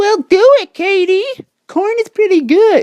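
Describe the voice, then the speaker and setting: A man in a put-on character voice sounds squeaky and extremely high-pitched, talking at a fairly slow pace. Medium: solo performance.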